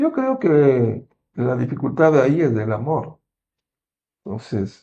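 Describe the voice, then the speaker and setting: A dark, mellow male voice at medium pitch, delivered at a very slow pace. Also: ordinary pitch variation. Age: 60s. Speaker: medical doctor. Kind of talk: interview on health.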